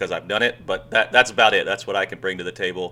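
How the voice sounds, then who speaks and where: A man with an American accent speaks at a fairly low pitch in a bright, sharp tone. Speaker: goalkeeper coach, former professional goalkeeper. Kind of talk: casual chat, video reaction. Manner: monotone.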